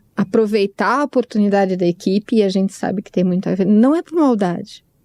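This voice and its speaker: On a very clean recording with a silent background, a woman speaks at a medium pitch with ordinary pitch variation. The sound is dry and close with no echo, and her loudness swings widely. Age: 60s. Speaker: podcast co-host. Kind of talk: casual chat. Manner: halting.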